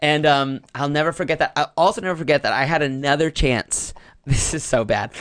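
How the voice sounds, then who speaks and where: A normal speaking voice from a man, fairly high in pitch, fairly quick, fairly even in intonation, with an American accent. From North Carolina, US. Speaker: comedian and improv teacher. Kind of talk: casual chat.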